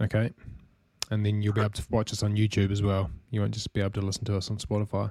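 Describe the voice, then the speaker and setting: Speaking very fast with a New Zealand accent, a man uses a fairly low pitch and monotone, flat intonation in a dry, close sound with no echo. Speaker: podcast host, marketing manager. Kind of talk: casual chat.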